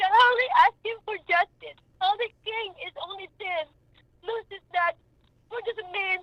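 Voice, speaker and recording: A woman speaks at an extremely high pitch in a raised, projected voice, with ordinary pitch variation and big swings in loudness. Her pace is fairly slow, and the sound is dry and close with no echo. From Philippines. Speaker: mother of a homicide victim. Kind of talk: radio talk show interview.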